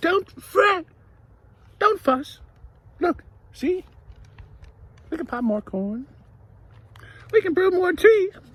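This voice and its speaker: In a put-on character voice, the speaker squeaks at an extremely high pitch, moving at a very slow pace with long, frequent pauses. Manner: reassuring, comforting.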